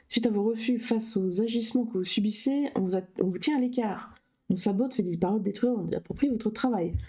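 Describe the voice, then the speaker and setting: Putting on a character voice, a woman mumbles at a fairly quick pace in a fairly high pitch with ordinary pitch variation. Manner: reading too fast, words mumbled.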